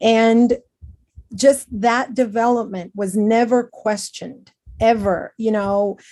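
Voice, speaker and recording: A woman's fairly high pitch with a dark, mellow tone, fairly even intonation, and a very slow pace. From Venezuela. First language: Spanish. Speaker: educator. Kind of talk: panel discussion. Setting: video call.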